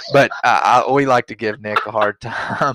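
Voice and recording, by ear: The man's voice has a fairly bright tone and fairly even intonation, recorded dry and close with no echo.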